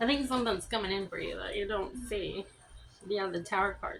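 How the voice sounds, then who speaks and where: A woman talks at a moderate pace and medium pitch, with ordinary pitch variation. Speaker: tarot reader. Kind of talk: tarot reading. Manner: mumbling; casual, halting.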